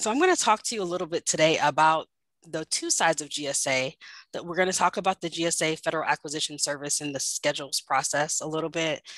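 Delivered at a very fast pace with fairly even intonation, the voice sounds dry with no echo against a quiet background. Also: woman, very deep, low pitch for a woman. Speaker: government contracting director; presenter. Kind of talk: webinar presentation. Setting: video call. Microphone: video call.

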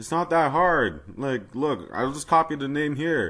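Against a quiet background, a man talks at a fairly slow pace in a fairly high pitch, a plain, everyday voice. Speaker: fangame modding tutorial maker. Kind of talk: casual game tutorial commentary. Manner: casual, mildly exasperated.

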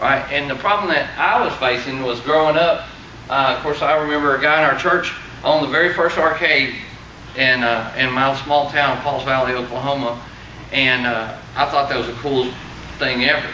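A man's voice amid light background noise, with audible room echo. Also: ordinary pitch variation, moderate pace. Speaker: presenter. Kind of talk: seminar talk to audience. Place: meeting room. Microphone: camera far.

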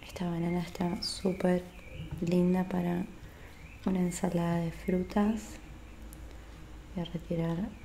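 Soft-spoken and fairly low for a woman, her voice is monotone and flat at a fairly slow pace, with long, frequent pauses over light background noise. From Argentina. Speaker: ASMR creator. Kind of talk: ASMR role-play. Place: home room. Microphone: studio mic.

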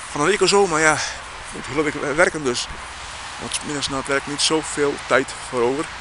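Pitched fairly high, a man speaks at a moderate pace with ordinary pitch variation and long, frequent pauses over noticeable background noise. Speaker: vlogger. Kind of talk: casual vlog monologue. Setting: outdoors. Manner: halting, rambling.

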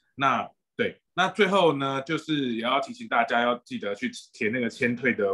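A man is speaking against a quiet background. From Taiwan. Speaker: doctor and moderator; moderator. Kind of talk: webinar moderation. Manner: hesitant. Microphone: video call.

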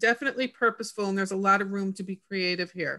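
Against a quiet background, a woman speaks in a normal speaking voice at medium pitch with ordinary pitch variation. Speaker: regional health program manager. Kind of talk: meeting introduction. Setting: video call. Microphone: video call.

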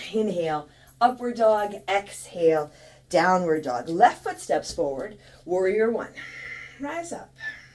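Speaking at a fairly slow pace, a woman makes very wide pitch swings and big swings in loudness. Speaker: yoga teacher. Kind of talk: yoga class instruction, live cued guidance. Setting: live online stream. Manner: calm, steady, instructive, unhurried cueing. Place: home room.

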